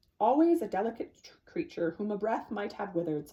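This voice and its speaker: A woman's put-on character voice, medium in pitch, at a fairly quick pace. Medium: read story. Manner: calm, thoughtful.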